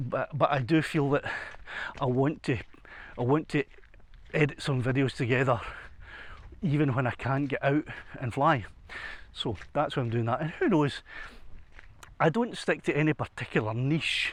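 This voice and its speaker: The speaker, in a Scottish accent, moves at a moderate pace with long, frequent pauses. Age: 60s. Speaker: retired musician, hiking vlogger. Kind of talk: casual vlog narration. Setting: outdoors. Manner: halting, many repetitions.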